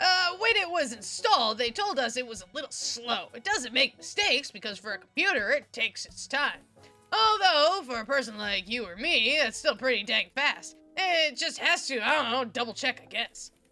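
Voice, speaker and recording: Over background music, a woman performs a put-on character voice at a high pitch, moving at a moderate pace with hardly any pauses. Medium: game stream. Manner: casual, rambling.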